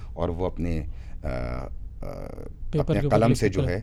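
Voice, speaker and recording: Vocal fry runs through a man's speech, which has lively intonation. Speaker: radio jockey and voice-over artist. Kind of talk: interview answer.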